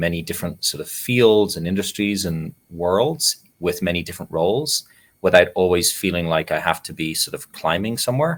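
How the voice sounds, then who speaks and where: A man with an Irish accent and a very deep, low pitch talks at a moderate pace with ordinary pitch variation on a very clean recording with a silent background. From Ireland. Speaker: nonprofit CEO and meditation teacher. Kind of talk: interview. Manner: reflective, with frequent fillers.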